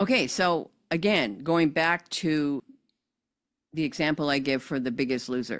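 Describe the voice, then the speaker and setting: The tone is animated and the intonation lively. The pace is fairly slow, with long, frequent pauses. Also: woman, very deep, low pitch for a woman, very clean recording, silent background. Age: 60s. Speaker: podcast host. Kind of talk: casual chat.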